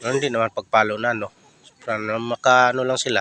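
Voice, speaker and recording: A man at medium pitch, talking at a fairly quick pace in a monotone, flat way, with a dry, close sound and no echo. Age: old. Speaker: vlogger. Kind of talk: casual chat.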